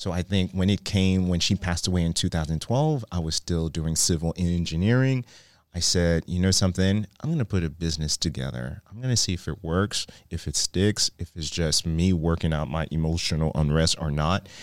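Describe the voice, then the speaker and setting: A man's very deep, low voice at a fairly quick pace, with ordinary pitch variation, dry and close with no echo, on a very clean recording with a silent background. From Haiti. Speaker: cheesecake shop owner. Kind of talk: interview. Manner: animated.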